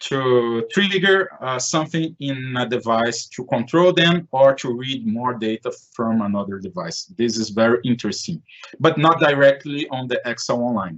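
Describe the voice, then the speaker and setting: A man talks at a moderate pace and medium pitch with a Portuguese accent. His intonation is lively. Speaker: conference presenter. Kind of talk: Q&A in online presentation. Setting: online live event. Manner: halting.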